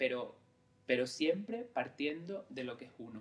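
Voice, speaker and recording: Here a man speaks at a medium pitch. His pace is fairly slow, with ordinary pitch variation. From Lanzarote, Canary Islands (San Bartolomé). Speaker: creative director, former actor. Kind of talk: interview conversation. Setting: recorded in Lanzarote. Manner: halting, many fillers and repetitions.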